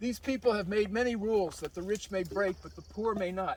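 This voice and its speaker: The speaker has a Philadelphia accent. Pitch varies in an ordinary way. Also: man. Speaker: hiking guide. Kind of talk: reading aloud; guided tour talk. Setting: outdoors on a hike.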